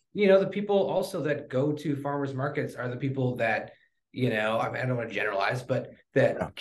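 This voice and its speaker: This man has an American accent and a fairly high, somewhat breathy voice. He talks at a very fast pace with lively intonation. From Wisconsin. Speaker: barbecue cook. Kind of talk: casual interview.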